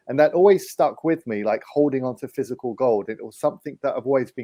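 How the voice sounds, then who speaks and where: With an English accent and a fairly high pitch, a man rattles along at a very fast pace with hardly any pauses, his tone dark and mellow and his pitch variation ordinary, in a dry, close sound with no echo. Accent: English accent, noticeable. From England, London. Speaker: precious metals investment advisor. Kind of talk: interview.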